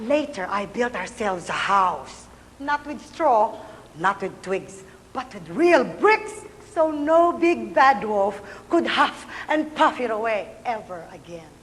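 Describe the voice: Slowly and with few pauses, a woman speaks at a fairly high pitch with big pitch swings.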